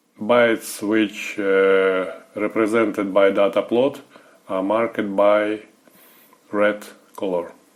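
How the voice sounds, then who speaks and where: Against noticeable background noise, a man with a fairly low pitch speaks very slowly in a monotone, flat intonation, with long, frequent pauses. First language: not English. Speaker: software service developer. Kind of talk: tutorial. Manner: halting, many filler sounds.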